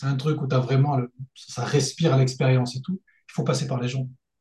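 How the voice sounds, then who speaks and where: This man has a medium pitch. His tone is dark and mellow, and somewhat breathy. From France, Lyon region. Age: 30s. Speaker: engineer and freelance mentor. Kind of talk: casual interview.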